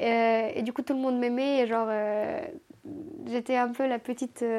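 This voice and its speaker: A woman with a high pitch speaks at a moderate pace in a dark, mellow tone. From Moldova, Chisinau. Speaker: interviewee telling her life story. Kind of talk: casual personal storytelling.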